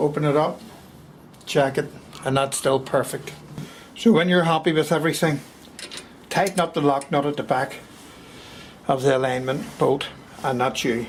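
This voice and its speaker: A man's fairly high voice with a Belfast accent, moderate pace, ordinary pitch variation, and long, frequent pauses. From Belfast, Northern Ireland. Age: 60s. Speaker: carpenter. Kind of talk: woodworking tutorial. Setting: cold workshop. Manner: dry humour.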